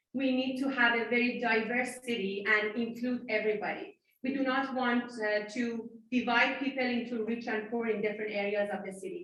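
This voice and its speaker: A woman speaks at a fairly quick pace with fairly high pitch and fairly even intonation. Audible room echo surrounds her voice. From Iran. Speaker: city council candidate. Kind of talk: candidate debate answer.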